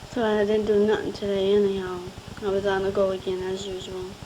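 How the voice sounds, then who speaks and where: A woman's medium-pitched, monotone, flat delivery at a moderate pace, with noticeable background noise. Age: 20s. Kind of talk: recorded personal voice message to husband. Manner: sweet, affectionate; casual, chatty.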